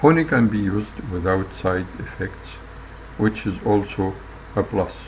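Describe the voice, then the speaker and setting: A man at a fairly slow pace with a fairly low pitch, ordinary pitch variation and noticeable background noise. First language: not English. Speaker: health video narrator. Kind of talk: reading aloud. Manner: halting.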